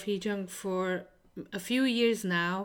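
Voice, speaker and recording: A woman speaks with a Hungarian accent. The recording is very clean, with a silent background. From Hungary. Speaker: podcast host. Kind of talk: interview.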